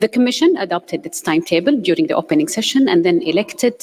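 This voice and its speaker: At a very fast pace, a woman talks at a medium pitch with very wide pitch swings, in a dry, close sound with no echo. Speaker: committee chairperson. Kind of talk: formal report presentation. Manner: formal.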